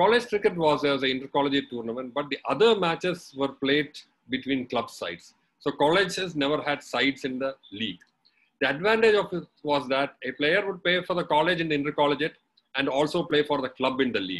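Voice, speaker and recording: The intonation is lively. The pace is fairly quick. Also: man. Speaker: webinar guest. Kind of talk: talk recounting personal history. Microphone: video call.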